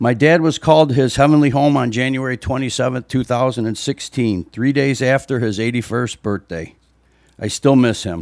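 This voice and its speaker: A man with a plain, everyday voice and an American accent talks at medium pitch and a moderate pace, with ordinary pitch variation. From US Midwest (Libertyville, Illinois). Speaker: parishioner and father giving reflection. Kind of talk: church reflection speech. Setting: church during Mass. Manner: formal.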